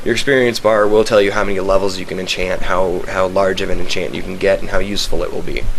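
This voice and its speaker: Noticeable background noise and audible room echo fill the clip. Over it, a man talks at a very fast pace. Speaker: gamer showing a game server. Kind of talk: casual video game walkthrough. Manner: hesitant, many fillers.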